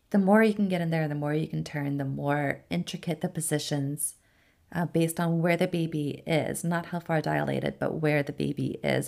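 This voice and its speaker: This woman has a very deep, low voice and an American accent. She talks at a moderate pace with fairly even intonation. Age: 30s. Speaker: labor and delivery nurse. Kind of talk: casual chat.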